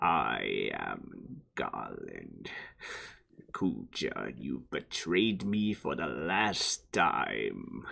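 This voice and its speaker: In a put-on character voice, the speaker growls with a menacing tone at a very slow pace over a quiet background. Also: man. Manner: menacing, villainous.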